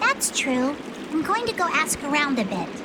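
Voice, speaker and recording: Loud background noise sits behind a woman's put-on character voice. She has a high pitch and a moderate pace. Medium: machinima.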